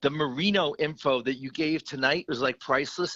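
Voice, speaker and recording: With an American accent, a man speaks at a moderate pace in a bright, sharp tone, the sound dry and close with no echo against a quiet background. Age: 60s. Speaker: caller, longtime hockey fan. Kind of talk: casual chat.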